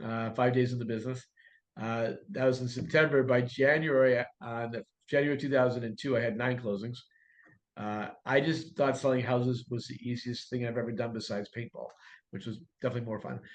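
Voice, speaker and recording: Using an ordinary speaking voice, a man talks at a medium pitch and a fairly quick pace with fairly even intonation. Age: 60s. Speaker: real estate coach and broker. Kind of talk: podcast interview.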